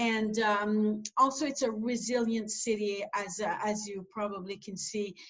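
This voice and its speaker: With a French accent, a woman talks at a fairly high pitch in fairly even intonation. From New Brunswick, Canada (Acadian). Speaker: airport executive. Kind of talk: interview. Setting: video call.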